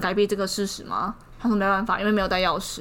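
A woman speaks with a Taiwanese accent. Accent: Taiwanese Mandarin. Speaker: podcast co-host. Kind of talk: casual chat. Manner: animated.

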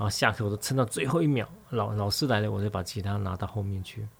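A man's fairly low, somewhat breathy voice at a very fast pace. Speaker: radio host. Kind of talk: casual radio talk. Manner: animated.

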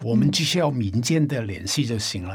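A man with a Cantonese accent speaks in a somewhat breathy voice. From Hong Kong. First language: Cantonese (speaking Chinese). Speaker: independent musician. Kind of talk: casual chat.

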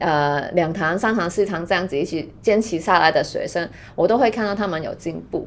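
Ordinary pitch variation marks speech that goes at a fairly quick pace. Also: woman, medium pitch for a woman. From Hong Kong. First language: Cantonese (speaking Chinese). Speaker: skincare brand founder and yoga teacher. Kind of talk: casual chat.

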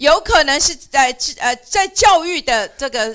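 A woman speaks with a Mandarin accent in a high-pitched, bright, sharp tone, her pitch swinging very widely. The recording is very clean, with a silent background. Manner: halting.

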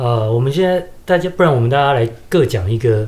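In a Taiwanese accent, the voice has a dark, mellow tone and is somewhat breathy. Its intonation is lively. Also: man. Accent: Taiwanese Mandarin. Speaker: podcast co-host. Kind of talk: casual chat.

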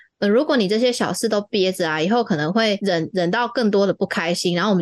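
A woman's unremarkable speaking voice, medium in pitch, with lively intonation and a fairly quick pace. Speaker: podcast host. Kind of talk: casual chat.

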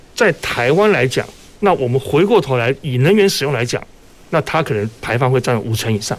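The man has an unremarkable speaking voice. He talks at a fairly quick pace with lively intonation. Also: medium pitch for a man. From Taiwan, Kaohsiung. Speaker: power utility executive. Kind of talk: radio panel discussion. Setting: radio studio, live broadcast.

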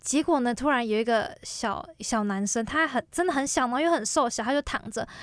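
In a very clean recording with a silent background, a woman talks at a fairly quick pace in a high pitch with ordinary pitch variation. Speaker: university student. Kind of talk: casual interview chat.

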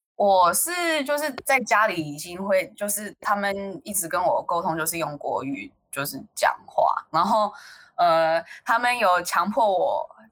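Speaking at a fairly slow pace, a woman uses a medium pitch with very wide pitch swings. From United States. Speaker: college student. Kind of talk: casual chat. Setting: online call.

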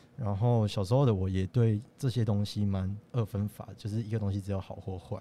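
A man's fairly low voice with a dark, mellow tone. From Taiwan, Tainan. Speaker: student animation director. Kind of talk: casual interview.

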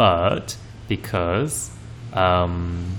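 There is audible echo in the room. Music plays in the background. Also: man. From Taiwan, Kaohsiung. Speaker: podcast co-host. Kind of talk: casual chat. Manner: hesitant, many fillers.

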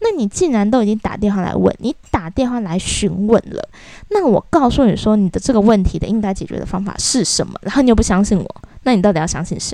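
A woman's very fast speech in a Taiwanese accent, medium in pitch, with a dark, mellow tone and ordinary pitch variation. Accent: Taiwanese Mandarin. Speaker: podcast host. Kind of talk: casual rant monologue.

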